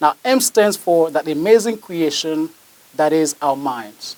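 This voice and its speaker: A man speaks with a non-native accent and lively intonation. The sound is dry and close, with no echo. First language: not English. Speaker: motivational speaker. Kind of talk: motivational speech.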